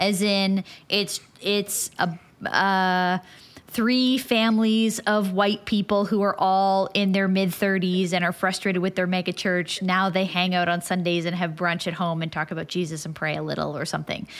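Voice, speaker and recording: An unremarkable speaking voice at a moderate pace, with fairly even intonation, on a very clean recording against a silent background. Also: woman, medium pitch for a woman. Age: 30s. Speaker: podcast host. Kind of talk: interview conversation.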